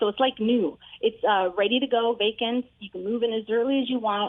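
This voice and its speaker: A woman with a fairly high pitch. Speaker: realtor. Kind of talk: casual chat. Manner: fast.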